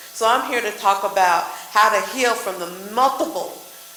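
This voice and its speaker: A woman with an American accent talks at a fairly slow pace and a fairly high pitch, with ordinary pitch variation. Room echo is audible, and background noise is noticeable. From West Texas. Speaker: therapist. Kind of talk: panel discussion.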